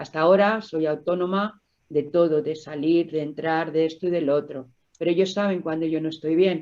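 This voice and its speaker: Her voice has a dark, mellow tone, and this woman uses ordinary pitch variation. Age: 60s. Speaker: COPD patient, smoker. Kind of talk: testimony.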